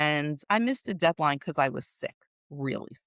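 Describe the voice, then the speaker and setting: An ordinary speaking voice at a moderate pace, with a dry, close sound and no echo. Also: woman. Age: 60s. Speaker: productivity coach. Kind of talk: interview. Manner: conversational.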